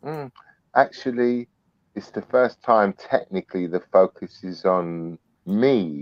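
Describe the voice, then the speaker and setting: Lively intonation in a British accent, at a very slow pace with big swings in loudness. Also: man, fairly low pitch for a man. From UK. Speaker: snake breeder. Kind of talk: podcast interview. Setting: live video podcast. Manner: energetic.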